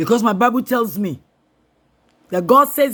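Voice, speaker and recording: A man talks at a moderate pace in a bright, sharp, stern tone. His pitch swings very widely. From Nigeria (Yoruba). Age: 60s. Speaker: political commentator. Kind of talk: impassioned political address. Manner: forceful, stern; halting at times.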